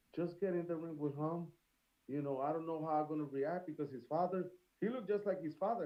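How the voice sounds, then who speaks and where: A man's very fast speech in a strong Puerto Rican accent, high in pitch for a man, with ordinary pitch variation. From Puerto Rico. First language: Spanish. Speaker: celebrity boxer. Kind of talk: casual podcast interview.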